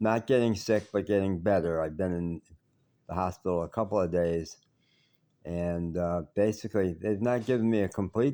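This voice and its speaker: A man's fairly low-pitched voice with a dark, mellow tone and a Chicago accent, on a very clean recording with a silent background. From US Midwest, southwest side of Chicago. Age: 70s. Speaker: vlogger. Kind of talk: personal video diary. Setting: hospital. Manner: slightly halting, self-correcting.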